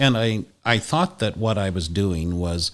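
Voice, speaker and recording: In a very clean recording with a silent background, a man with a plain, everyday voice speaks at a fairly low pitch and a fairly slow pace with ordinary pitch variation. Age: 60s. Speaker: hospital chaplain trainee, former long-time professional. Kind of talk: podcast interview.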